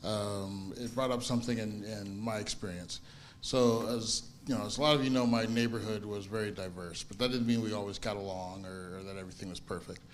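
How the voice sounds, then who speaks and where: With an American accent, a man talks fairly quickly at a fairly low pitch. His intonation stays fairly even, and room echo is audible. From US Midwest, early childhood in Italy. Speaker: congregation member. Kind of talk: personal testimony in group discussion. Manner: halting, many restarts and fillers.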